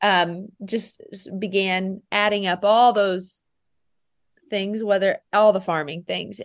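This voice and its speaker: Against a quiet background, a woman with an American accent and an unremarkable speaking voice talks at a fairly slow pace with fairly even intonation. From US Midwest, Nebraska. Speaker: dairy goat farmer. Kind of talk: casual interview.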